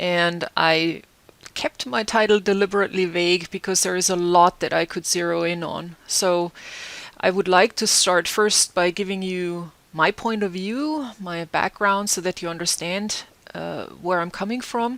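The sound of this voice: A woman's fairly low voice with a German accent, fairly bright tone, ordinary pitch variation and fairly slow pace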